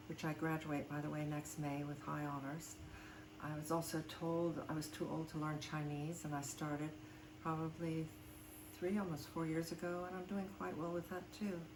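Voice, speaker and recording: Her voice is very deep and low, with ordinary pitch variation. Noticeable background noise sits behind this woman. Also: moderate pace. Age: 70s. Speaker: voice actor. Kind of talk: casual talk to camera. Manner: candid, defiant.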